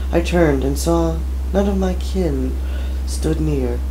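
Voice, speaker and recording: There is audible room echo and noticeable background noise as a man speaks with a very deep, low pitch. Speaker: amateur voice actor. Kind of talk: reading aloud.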